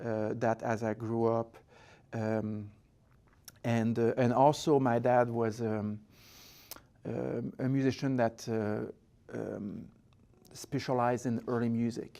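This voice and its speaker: A man with a French-Canadian accent, medium pitch and a dark, mellow tone, speaking at a very slow pace in a monotone, flat delivery broken by long, frequent pauses. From Quebec, Montreal. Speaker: orchestra conductor and founder. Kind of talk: interview. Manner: halting, with many fillers.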